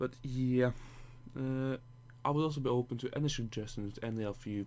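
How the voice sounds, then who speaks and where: Using a Norwegian accent, the speaker moves at a fairly quick pace with fairly even intonation. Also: man. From Norway. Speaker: gaming YouTuber. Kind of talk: gameplay commentary. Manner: halting, many false starts; casual, rambling.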